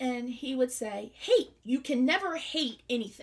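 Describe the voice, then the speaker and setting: Speaking very slowly, a woman with a Southern US accent uses a high pitch. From US South. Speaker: podcast host. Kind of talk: religious teaching. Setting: home studio.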